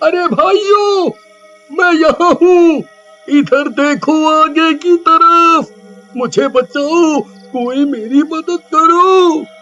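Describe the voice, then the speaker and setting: A man puts on a cartoonish character voice and speaks at a very slow pace, with faint music in the background. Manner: stammering, fearful.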